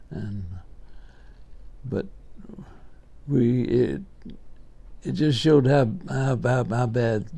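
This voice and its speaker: A man talks in a Southern US accent. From Alabama, US. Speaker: WWII veteran, former medic. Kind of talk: interview answer.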